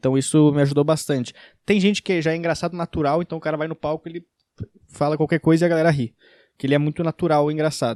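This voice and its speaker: With a slight gaúcho accent, a man talks at a very fast pace and keeps his intonation fairly even. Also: fairly high pitch for a man. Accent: slight gaúcho accent, uses 'tu'. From Rio Grande do Sul, southern Brazil. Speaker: stand-up comedian. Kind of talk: casual Q&A video. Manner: casual, some stammering.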